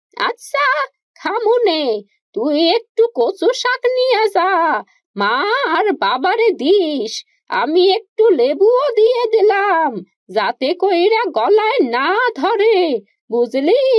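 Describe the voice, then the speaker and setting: A woman speaks very slowly in a cartoonish character voice, her extremely high pitch swinging very widely. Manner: gruff, plain-spoken, rustic.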